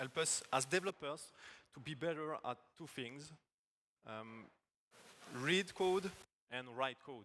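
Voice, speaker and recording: With a French accent, a man speaks slowly-ish with a fairly high pitch and a bright, sharp tone, his loudness swinging widely, ordinary pitch variation, and long, frequent pauses throughout. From France. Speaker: agile technical coach. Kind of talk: conference talk. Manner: halting.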